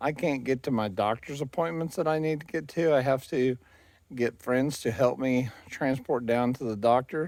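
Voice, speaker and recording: A man speaks in a plain, everyday voice at a medium pitch and moderate pace. His pitch varies in an ordinary way, and the recording is very clean with a silent background. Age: 60s. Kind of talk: casual vlog monologue. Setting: outdoors, walking in neighborhood.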